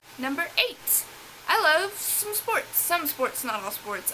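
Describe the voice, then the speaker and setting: Against noticeable background noise, a woman speaks with a strong Southern US accent. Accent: thick Southern drawl. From US South. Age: 20s. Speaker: beauty vlogger. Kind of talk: casual chat.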